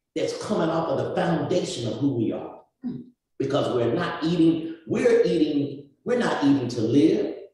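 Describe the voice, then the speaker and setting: A man's animated tone with lively intonation, a moderate pace, and audible room echo. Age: 60s. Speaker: community speaker. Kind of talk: panel discussion.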